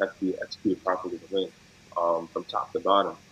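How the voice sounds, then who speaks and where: A man talks at a moderate pace. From New York, Westchester County (Yorktown Heights). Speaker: professional basketball player. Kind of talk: casual interview.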